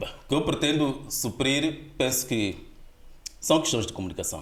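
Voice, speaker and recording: With audible room echo, a man speaks at a fairly slow pace in a somewhat breathy voice with a Mozambican accent. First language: Gitonga (speaking Portuguese). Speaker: linguist, dictionary author. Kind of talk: podcast interview. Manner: hesitant with fillers.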